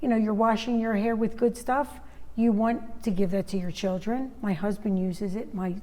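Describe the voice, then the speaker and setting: This voice has a dark, mellow tone. It keeps a moderate pace and ordinary pitch variation. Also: woman, fairly high pitch for a woman. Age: 60s. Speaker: direct sales entrepreneur. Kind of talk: casual interview chat.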